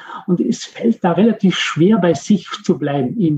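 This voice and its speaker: High-pitched male speech, dark and mellow in tone. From Austria. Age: 50s. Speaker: mindfulness coach for athletes. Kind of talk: interview. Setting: remote call.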